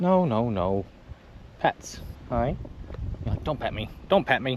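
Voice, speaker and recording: A man speaks in an Australian accent. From South Australia. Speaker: travel vlogger. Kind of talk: casual vlog chat. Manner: animated.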